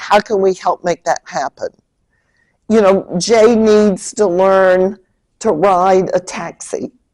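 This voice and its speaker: A woman's dark, mellow voice at a fairly slow pace, dry and close with no echo. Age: 70s. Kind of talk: lecture.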